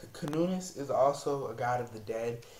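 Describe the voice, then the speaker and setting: A soft-spoken man talks at a fairly slow pace. There is audible echo in the room. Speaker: psychic reader. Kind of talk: tarot and astrology reading monologue. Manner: soft-spoken, low volume; halting with many fillers.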